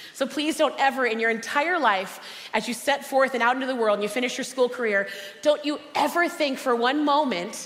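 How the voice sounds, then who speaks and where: Loud and animated, a woman speaks at a high pitch with audible room echo. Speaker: motivational speaker and cookbook author. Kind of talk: motivational conference talk. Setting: stage with audience.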